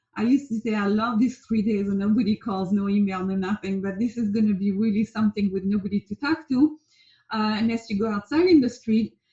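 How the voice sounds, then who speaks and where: A woman with a French accent speaks at a fairly quick pace in a fairly high, dark and mellow voice with ordinary pitch variation, the sound dry and close with no echo. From France. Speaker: life coach. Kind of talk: casual talk to camera. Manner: hesitant, many fillers.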